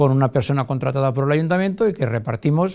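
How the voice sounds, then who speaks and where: A fairly high-pitched man with a dark, mellow tone and ordinary pitch variation against a quiet background. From Valencia region, Spain. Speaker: mayor. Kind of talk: TV interview; interview answer. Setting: TV studio. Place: studio.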